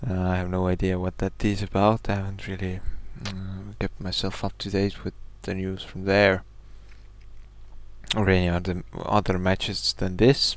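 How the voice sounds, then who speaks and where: A man talks quietly at a moderate pace in a very deep, low pitch, monotone and flat, with long, frequent pauses. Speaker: game commentator. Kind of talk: esports commentary. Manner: quiet, low volume.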